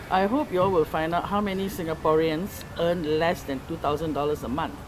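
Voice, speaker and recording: The speech moves at a fairly quick pace with ordinary pitch variation, over noticeable background noise. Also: woman, fairly low pitch for a woman. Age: 60s. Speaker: farmer. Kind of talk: interview. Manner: animated.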